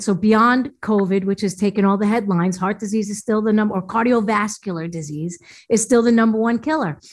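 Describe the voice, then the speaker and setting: A woman's fairly high-pitched voice at a moderate pace, a plain, everyday voice. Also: very clean recording, silent background. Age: 50s. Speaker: natural foods chef and health coach. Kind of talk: interview.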